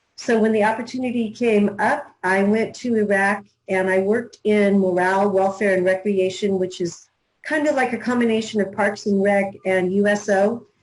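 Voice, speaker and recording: A woman with an American accent speaks in a normal speaking voice at a medium pitch and moderate pace. Her intonation is fairly even and her loudness very even. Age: 60s. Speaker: newspaper publisher. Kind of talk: interview.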